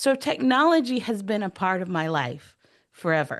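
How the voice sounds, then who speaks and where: Speaking in an American accent, a woman has a medium pitch. She keeps a moderate pace over a quiet background. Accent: Texas accent, stronger when excited. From Texas. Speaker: AI strategist, education speaker. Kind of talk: presentation to online workshop. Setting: video call.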